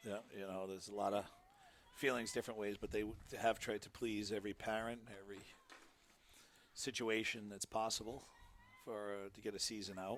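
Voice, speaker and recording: With a Rhode Island accent, a man speaks at a fairly quick pace and fairly low pitch in a monotone, flat intonation, with long, frequent pauses. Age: 50s. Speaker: sports commentator. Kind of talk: live commentary.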